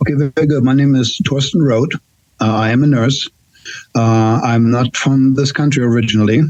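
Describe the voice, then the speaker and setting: A man's medium-pitched voice at a moderate pace, with very even loudness and fairly even intonation. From Germany. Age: 60s. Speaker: nurse. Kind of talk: casual chat. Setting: podcast. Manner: halting.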